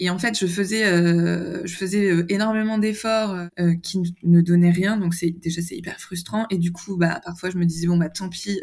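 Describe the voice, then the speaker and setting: Somewhat breathy and medium-pitched, a woman speaks at a moderate pace with fairly even intonation. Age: 30s. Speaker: communications manager, dietary program client. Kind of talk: interview testimony. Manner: hesitant, many fillers.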